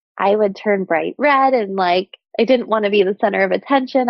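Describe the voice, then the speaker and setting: A woman's medium-pitched voice with an American accent, at a moderate pace and with ordinary pitch variation. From childhood abroad and in US (Scotland, Venezuela, Saudi Arabia, Oklahoma). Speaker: former nurse turned coach. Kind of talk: podcast interview.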